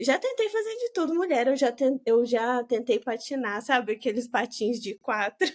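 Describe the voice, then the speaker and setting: Her high voice carries at a moderate pace as this woman speaks with hardly any pauses and ordinary pitch variation. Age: 20s. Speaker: branding and content strategist. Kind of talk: casual chat.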